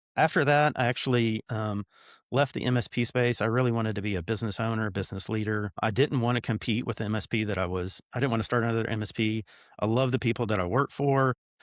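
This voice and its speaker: A man with a Tennessee accent speaks at a very fast pace and medium pitch in fairly even intonation, the sound dry and close with no echo on a very clean recording with a silent background. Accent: Southern US, Tennessee. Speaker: business owner, CEO. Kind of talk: interview.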